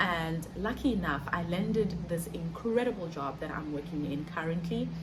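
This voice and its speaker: Audible echo from the room surrounds a woman whose voice sits fairly low in pitch. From South Africa. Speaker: digital marketer and content creator. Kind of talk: vlog monologue. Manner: fast.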